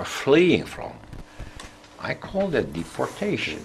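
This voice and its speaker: There is a somewhat breathy quality to this man's voice. He talks at a very slow pace. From Netherlands, The Hague. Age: 70s. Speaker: former politician, academic. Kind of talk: interview.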